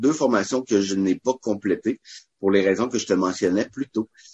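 Here a man talks at a fairly low pitch. His pitch moves with ordinary variation. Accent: Quebec. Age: 30s. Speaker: barbecue cook and charity founder. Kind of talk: casual interview. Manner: energetic; talkative.

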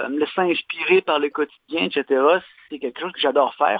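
A man with a normal speaking voice talks at a fairly quick pace and a fairly high pitch. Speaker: leather craftsman. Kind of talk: interview. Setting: phone call.

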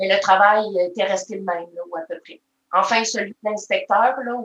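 This voice has a Quebec accent, a moderate pace and fairly even intonation. Its loudness swings widely. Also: woman. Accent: Québécois French. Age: 40s. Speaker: maple syrup taster. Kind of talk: casual interview.

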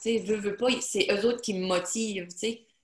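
Medium pitch, somewhat breathy, from a woman. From Acadian Peninsula, New Brunswick. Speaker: self-published novelist. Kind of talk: casual interview.

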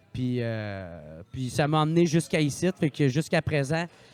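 In a Quebec accent, a man speaks at a fairly slow pace on a very clean recording with a silent background. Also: dry, close sound with no echo. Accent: Québécois French. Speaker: podcaster and comedian. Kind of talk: casual chat.

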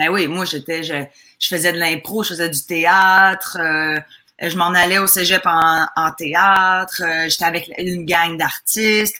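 Her pitch is fairly low and her tone bright and sharp. The woman speaks at a very slow pace with monotone, flat intonation. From Quebec, Lac-Saint-Jean. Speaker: comedian. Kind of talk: casual chat.

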